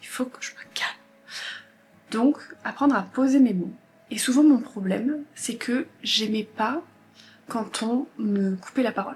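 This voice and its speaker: A woman talks in a high voice, her loudness swinging widely. She leaves long, frequent pauses. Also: ordinary pitch variation, fairly slow pace. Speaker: lifestyle vlogger. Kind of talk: casual chat.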